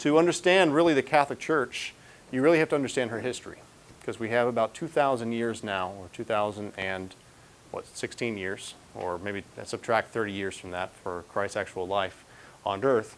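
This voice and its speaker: A man at a moderate pace, with big swings in loudness and light background noise. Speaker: priest lecturer. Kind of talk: lecture. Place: hall.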